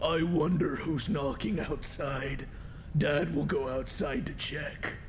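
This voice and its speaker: Putting on a character voice, a man speaks at a fairly slow pace and a fairly high pitch over clear background noise. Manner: creepy.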